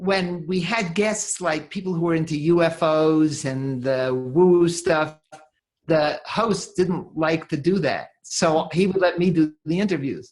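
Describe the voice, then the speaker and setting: A woman speaks with an American accent at a fairly slow pace. Her pitch is fairly low. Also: ordinary pitch variation. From New York, Brooklyn. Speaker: author and podcast host, money coach. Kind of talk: interview conversation. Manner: repeats words, hesitant starts.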